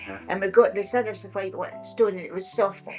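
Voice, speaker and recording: With a Scottish accent, a woman speaks at a moderate pace and medium pitch, her intonation fairly even, while music plays in the background. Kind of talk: oral history interview answer. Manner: reminiscing, casual.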